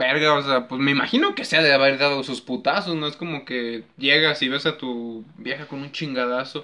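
At a moderate pace and with hardly any pauses, a man speaks in a fairly high pitch with fairly even intonation and an unremarkable speaking voice. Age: 20s. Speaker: podcast host. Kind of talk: casual chat.

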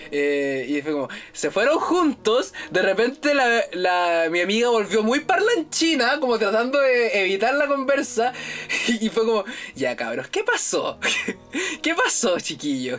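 A man's high, animated voice with a Chilean accent, very wide pitch swings and a fairly slow pace, music in the background. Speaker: podcast host, university student. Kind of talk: casual chat. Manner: animated, laughing.

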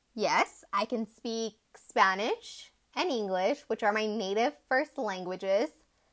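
A woman with an American accent and a plain, everyday voice speaks at a fairly slow pace and fairly high pitch with lively intonation, in a very clean recording with a silent background. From Arizona, US (Tucson). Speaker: podcast host, graduate student. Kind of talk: casual monologue.

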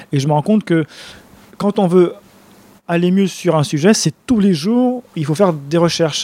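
Dry and close with no echo, a man's high-pitched voice carries a dark, mellow tone at a moderate pace with ordinary pitch variation. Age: 40s. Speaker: nutrition and wellbeing speaker. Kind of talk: casual interview.

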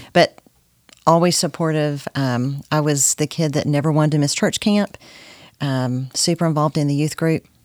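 In a Texan accent, a woman with a very deep, low voice speaks at a moderate pace with fairly even intonation, the sound dry and close with no echo. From Texas (Corsicana). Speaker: guest, mother and grandmother. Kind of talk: casual faith interview.

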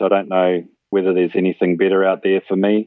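Talking at a fairly quick pace, a man with a New Zealand accent has a very deep, low pitch. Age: 40s. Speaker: person with type 1 diabetes. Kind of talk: casual interview. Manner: halting, many fillers.

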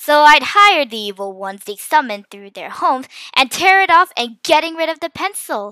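A woman performs a put-on character voice, high in pitch with big pitch swings and a bright, sharp tone, at a moderate pace in a dry, close sound with no echo.

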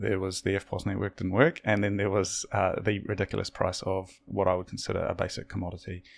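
The speaker has a New Zealand accent and monotone, flat intonation, with hardly any pauses. The recording is very clean with a silent background. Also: man, fairly low pitch for a man. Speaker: podcast host. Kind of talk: casual interview conversation.

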